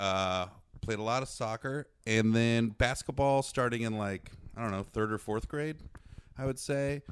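A man's normal speaking voice at a medium pitch, with ordinary pitch variation and an American accent. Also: moderate pace. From US Midwest. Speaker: season ticket holder, sports fan. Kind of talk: casual chat.

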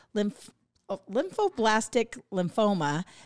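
In a very clean recording with a silent background and a dry, close sound with no echo, a woman at medium pitch speaks at a very slow pace. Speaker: podcast co-host. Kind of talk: casual chat.

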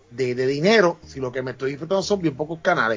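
A man with a fairly high pitch and ordinary pitch variation talks while music plays behind him. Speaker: podcast guest. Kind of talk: casual chat.

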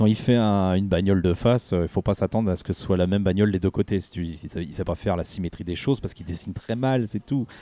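A man with a very deep, low pitch and a dark, mellow tone speaks at a very fast pace with ordinary pitch variation, recorded very cleanly against a silent background. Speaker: returning podcast guest. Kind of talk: casual chat.

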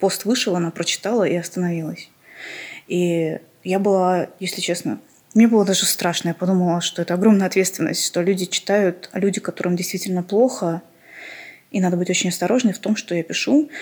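In a very clean recording with a silent background, a woman of medium pitch talks at a fairly quick pace, with fairly even intonation and long, frequent pauses. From Armenia. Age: 30s. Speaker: podcast guest sharing mental illness story. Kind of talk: personal testimony interview.

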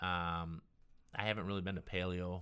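In a very clean recording with a silent background, a man speaks at a moderate pace. He has an American accent and a very deep, low pitch. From US Midwest, northern Illinois near Chicago. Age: 50s. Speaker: chef and restaurant owner. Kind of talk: casual interview chat.

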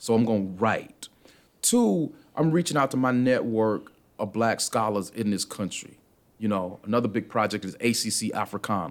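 Talking at a moderate pace with ordinary pitch variation, a man with an American accent and medium pitch has a normal speaking voice. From US South (Atlanta, Georgia). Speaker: professor. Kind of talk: casual chat. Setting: studio.

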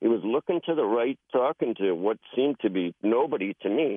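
This man has an unremarkable speaking voice, speaking at medium pitch and a fairly quick pace with lively intonation. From British Columbia, Canada. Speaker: caller. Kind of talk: storytelling. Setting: phone call.

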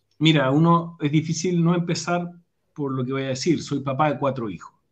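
Somewhat breathy and fairly high in pitch, a man speaks with fairly even intonation. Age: 40s. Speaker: leadership speaker and academic. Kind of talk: casual interview over live stream.

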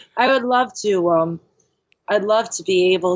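A woman's plain, everyday voice at a fairly slow pace, with lively intonation. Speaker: yoga instructor and bar owner in recovery. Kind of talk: recovery testimony interview.

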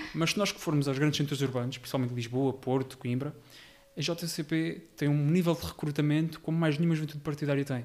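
At a fairly quick pace, a man talks in a normal speaking voice, fairly high in pitch with fairly even intonation. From Portugal, Rio Maior area (Ribatejo). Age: 20s. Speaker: local election candidate. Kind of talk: podcast interview.

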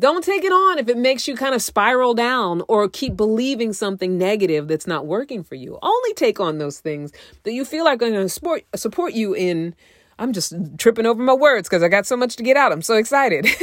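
On a very clean recording with a silent background, a woman with a fairly high pitch sounds animated, talking fairly quickly with very wide pitch swings. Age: 50s. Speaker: relationship coach and podcast host. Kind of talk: casual monologue. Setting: home recording in a closet.

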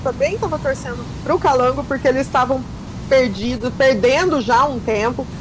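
A woman speaks at a high pitch and a moderate pace. The recording carries audible room echo and noticeable background noise. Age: 40s. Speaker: reality show commentator. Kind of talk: casual chat.

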